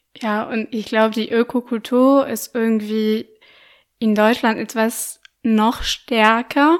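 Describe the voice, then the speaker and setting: A woman with a French accent speaks at a very slow pace in a monotone, flat voice, in a very clean recording with a silent background. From France, Lyon. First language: French (speaking German). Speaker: podcaster and journalist. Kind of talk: interview. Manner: hesitant, many fillers.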